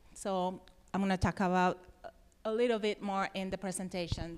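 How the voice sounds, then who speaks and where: The woman speaks with a Mexican accent. Her pitch is medium and her intonation fairly even. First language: Spanish. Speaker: environmental nonprofit worker. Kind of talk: presentation. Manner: halting.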